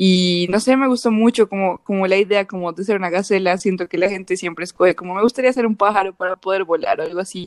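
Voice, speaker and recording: A woman with an unremarkable speaking voice, medium pitch and fairly even intonation, in a dry, close sound with no echo. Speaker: university student, podcast co-host. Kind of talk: casual chat.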